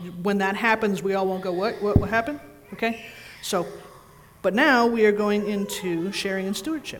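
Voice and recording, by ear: The intonation stays fairly even while the words are read aloud in a natural voice.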